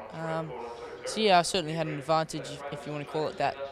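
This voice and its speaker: A man talks with fairly even intonation. Noticeable background noise runs underneath. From South Africa. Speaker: apprentice jockey. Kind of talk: interview. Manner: halting, many fillers.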